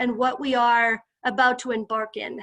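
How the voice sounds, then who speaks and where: A woman with a high pitch against a quiet background. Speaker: psychologist and health system leader. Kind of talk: presentation to a group.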